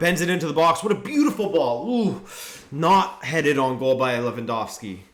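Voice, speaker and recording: A man speaks at a fairly high pitch with lively intonation. Audible room echo surrounds his voice. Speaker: football YouTuber hosting a watchalong. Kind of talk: live commentary with chat reading. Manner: slow.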